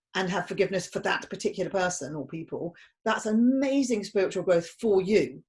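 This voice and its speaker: With a British accent, a woman talks at a moderate pace, somewhat breathy, with lively intonation. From Britain. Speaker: podcast host. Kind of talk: podcast interview.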